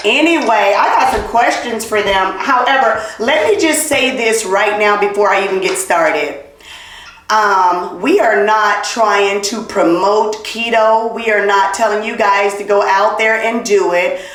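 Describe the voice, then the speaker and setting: With audible room echo and noticeable background noise, a woman speaks in an animated tone at a fairly high pitch and a fairly slow pace. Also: ordinary pitch variation. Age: middle-aged. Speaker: podcast host. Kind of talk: casual chat.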